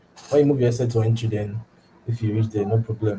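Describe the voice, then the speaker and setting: At a very fast pace, a man with a Nigerian accent speaks at a medium pitch with fairly even intonation over noticeable background noise. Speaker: forex trading educator. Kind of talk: live trading tutorial. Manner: halting, repeats words.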